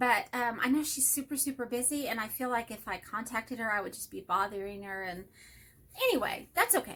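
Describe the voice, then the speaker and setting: A woman with a Texas accent speaks at a fairly high pitch and a fairly quick pace. Her pitch variation is ordinary, and her loudness swings widely. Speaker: hobby vlogger. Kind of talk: casual chat. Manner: rambling, self-interrupting.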